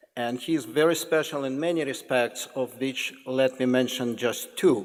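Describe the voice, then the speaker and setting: Pitched fairly high, a man speaks with a Russian accent. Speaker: professor introducing a guest speaker. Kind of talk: formal introduction of a lecture speaker. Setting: lecture hall with audience. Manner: halting, with false starts.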